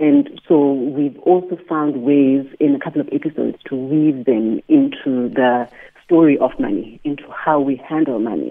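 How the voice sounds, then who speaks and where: The speaker has a South African accent. Pitch varies in an ordinary way. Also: woman, very deep, low pitch for a woman, moderate pace. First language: isiXhosa. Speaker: podcaster, former finance professional. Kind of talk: radio interview. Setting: phone call.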